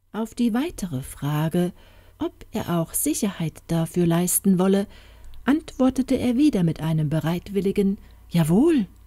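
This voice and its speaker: A woman's somewhat breathy, dark, mellow voice with a calm, soothing tone, very wide pitch swings and a fairly slow pace. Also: medium pitch for a woman. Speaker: audiobook narrator. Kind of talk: fairy tale narration, reading aloud. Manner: storytelling, slow and calm, soothing.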